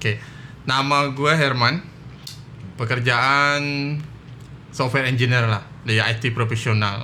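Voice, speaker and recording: Audible room echo surrounds a man's bright, sharp tone as he talks at a fairly slow pace and medium pitch, with very even loudness, fairly even intonation and long, frequent pauses. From Batam, Riau Islands, Indonesia. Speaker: software engineer. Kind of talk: casual chat.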